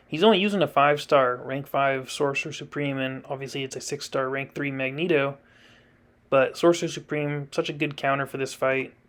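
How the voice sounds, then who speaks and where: A very clean recording with a silent background captures fairly quick speech. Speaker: gaming YouTuber. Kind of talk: gameplay commentary. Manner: casual, conversational.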